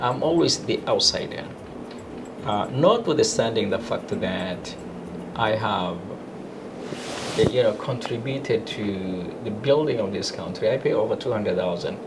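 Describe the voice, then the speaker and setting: Long, frequent pauses break up fairly slow speech, heard with audible room echo and noticeable background noise. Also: man. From Kenya. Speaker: lawyer. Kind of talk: interview. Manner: hesitant with fillers.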